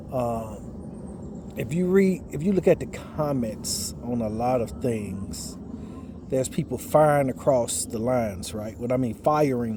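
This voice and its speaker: Noticeable background noise sits behind a man speaking with lively intonation. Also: medium pitch for a man, fairly slow pace. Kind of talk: casual monologue, religious commentary. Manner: trying to speak loud; repetitive, halting.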